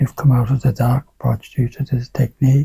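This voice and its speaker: A man speaks at a medium pitch and a moderate pace, with fairly even intonation. His voice is somewhat breathy, with a dark, mellow tone in a dry, close recording with no echo. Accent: Irish. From rural Ireland. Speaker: Alexander Technique teacher. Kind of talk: interview conversation.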